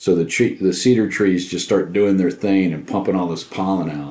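A man with an American accent talks at a fairly quick pace in a very deep, low voice. His tone is dark and mellow, and his intonation stays fairly even. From Southeast Texas. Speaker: pipe smoker, co-host. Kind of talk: casual chat.

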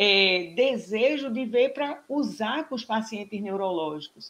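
Fairly slow, lively intonation from a woman with a fairly high pitch, an unremarkable speaking voice. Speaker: pelvic physiotherapist and professor. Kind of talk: casual interview.

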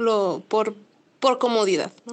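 A woman speaks at a fairly high pitch with ordinary pitch variation. Her pace is very slow. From Mexico, Los Mochis, Sinaloa. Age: 20s. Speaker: delivery rider and motorcycle traveler. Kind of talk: interview.

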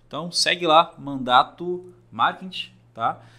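Here a man speaks with a bright, sharp tone. His pitch is fairly high. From Praia Grande, São Paulo coast, Brazil. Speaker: podcast host. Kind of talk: podcast interview.

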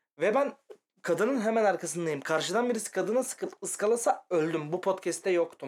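A man with a high pitch speaks with lively intonation and very even loudness. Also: fairly quick pace. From Turkey, İzmit. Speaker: podcast co-host. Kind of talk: casual chat. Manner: animated, laughing.

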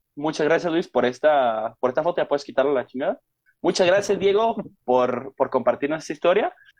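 A man talks at a fairly quick pace in a Mexican accent. His pitch sits fairly high, and his intonation is lively. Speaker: podcast host. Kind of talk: casual chat.

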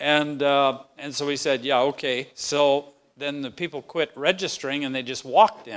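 In a very clean recording with a silent background, a man uses an ordinary speaking voice at a fairly high pitch. His intonation is fairly even, his pace moderate, and his loudness swings widely. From Manitoba, Canada. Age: 60s. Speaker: pastor. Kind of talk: talk at a pastors' round table.

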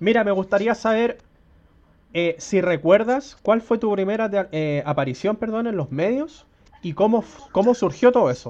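A man with a high pitch and lively intonation, at a moderate pace with long, frequent pauses. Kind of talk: interview.

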